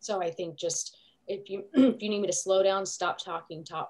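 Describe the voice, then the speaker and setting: The woman's voice is somewhat breathy. Her pitch variation is ordinary. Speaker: critical care nurse preceptor. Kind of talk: class discussion. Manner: fast.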